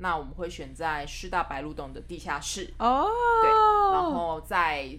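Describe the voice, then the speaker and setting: Music plays in the background as a woman speaks at a fairly slow pace, with audible room echo. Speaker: co-producer, exhibition organiser and publisher. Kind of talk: casual chat. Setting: small office. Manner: serious.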